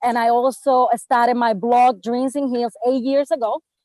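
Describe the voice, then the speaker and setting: With a Spanish accent, a woman speaks at a moderate pace in a high pitch with fairly even intonation, the sound dry and close with no echo. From Puerto Rico (Bayamón). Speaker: travel writer and blogger. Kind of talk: panel discussion.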